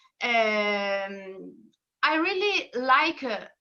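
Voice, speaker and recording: A woman uses a raised, projected voice with lively intonation. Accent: Italian. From northern Italy. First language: Italian. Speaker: singer and singing teacher. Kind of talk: interview. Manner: halting.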